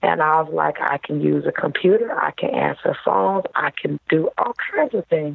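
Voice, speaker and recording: At a moderate pace and with hardly any pauses, a woman talks in an American accent. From Detroit, Michigan. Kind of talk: interview conversation. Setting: remote call.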